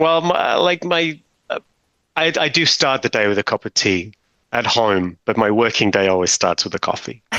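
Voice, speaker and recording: This man has a British accent and a medium pitch with very wide swings. His tone is bright and sharp. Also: moderate pace, dry, close sound with no echo. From Britain. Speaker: technical documentation manager. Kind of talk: interview conversation. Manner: hesitant, many fillers.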